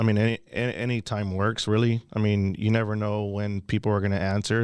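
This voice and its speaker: With a plain, everyday voice, a man speaks at a moderate pace and fairly low pitch with fairly even intonation, on a very clean recording with a silent background. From Houston, Texas. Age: 30s. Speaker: real estate wholesaler. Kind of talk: podcast interview.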